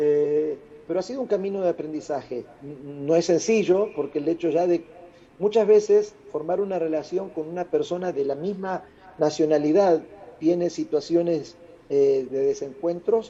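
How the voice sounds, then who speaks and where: Against noticeable background noise, a man speaks at a high pitch with an Argentine accent. His pace is moderate and his pitch varies in an ordinary way. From Argentina. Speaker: international speaker. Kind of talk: interview. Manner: loud.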